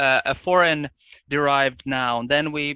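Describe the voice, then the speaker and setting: With a Finnish accent, a man speaks in a fairly high voice with monotone, flat intonation. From Finland. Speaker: linguist. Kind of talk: casual chat. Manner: halting.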